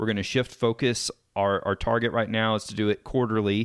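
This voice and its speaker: A man with a Texan accent talks at a fairly quick pace, his medium pitch showing ordinary variation. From East Texas (Sulphur Springs). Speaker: podcast host. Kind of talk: podcast interview.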